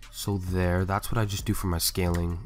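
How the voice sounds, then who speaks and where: With music in the background, a man talks at a moderate pace in a very deep, low voice. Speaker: video editor. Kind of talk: software tutorial voiceover. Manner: casual, hesitant.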